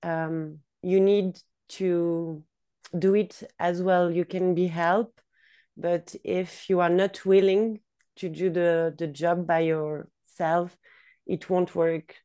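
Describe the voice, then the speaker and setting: Over a quiet background, a woman speaks very slowly with a Swiss accent, her pitch fairly low and her intonation fairly even. Her tone is dark and mellow. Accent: Swiss-accented English, noticeable non-native. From Switzerland. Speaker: yoga teacher. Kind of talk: casual interview. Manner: hesitant, many fillers.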